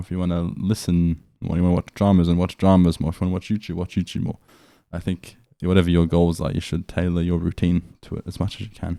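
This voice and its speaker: A man with an Australian accent speaks fairly quickly at a very deep, low pitch in a monotone, flat way. The recording is very clean with a silent background, and the sound is dry and close with no echo. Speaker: language learning vlogger. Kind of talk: casual video journal. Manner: casual, with fillers and restarts.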